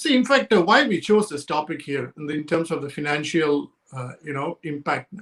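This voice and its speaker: The speaker has a Telugu accent. The intonation is lively. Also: man. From India, Chennai. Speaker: sales professional and couples coach. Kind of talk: interview conversation.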